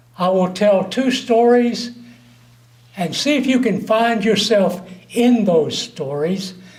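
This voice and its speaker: A man speaks at a very slow pace with ordinary pitch variation, over noticeable background noise and with audible room echo. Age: 70s. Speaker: speaker at awards luncheon. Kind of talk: after-dinner speech with jokes.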